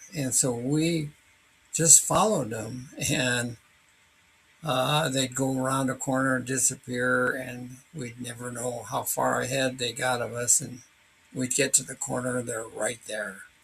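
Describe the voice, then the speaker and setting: Medium-pitched male voice at a fairly slow pace, fairly even intonation, and noticeable background noise. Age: 80s+. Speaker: hiker recounting a wildlife encounter. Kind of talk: personal narration. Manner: halting, with many fillers.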